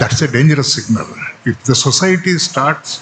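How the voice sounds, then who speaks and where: A man speaks at a moderate pace with a Telugu accent. Noticeable background noise runs behind him. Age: 70s. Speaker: retired Supreme Court judge. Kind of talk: speech.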